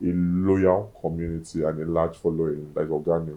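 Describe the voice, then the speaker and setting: Moving at a moderate speed, the speaker's tone is dark and mellow. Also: man. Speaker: food critic. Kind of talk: interview.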